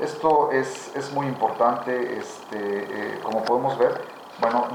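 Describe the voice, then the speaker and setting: A man with a medium pitch talks while noticeable background noise runs underneath. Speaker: interviewer, project director. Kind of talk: interview host presenting a book. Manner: hesitant, many fillers.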